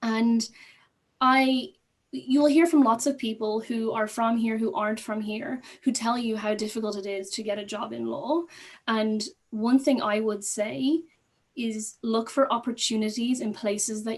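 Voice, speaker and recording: A woman with an Irish accent speaks in a somewhat breathy voice with ordinary pitch variation. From Ireland. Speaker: court associate, former teacher. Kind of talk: panel discussion.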